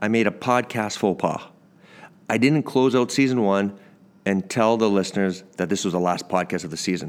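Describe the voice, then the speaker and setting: Lively in intonation, a man with a Canadian accent uses an ordinary speaking voice on a very clean recording with a silent background. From Canada. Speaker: podcast host, former pro baseball player. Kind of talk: casual interview; scripted podcast intro.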